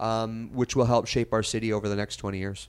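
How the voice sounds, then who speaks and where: Speaking with a Canadian accent, a man uses an unremarkable speaking voice at medium pitch with fairly even intonation. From Western Canada (Kelowna, British Columbia). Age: 40s. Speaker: mayor, former TV journalist. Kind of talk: casual interview. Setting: studio.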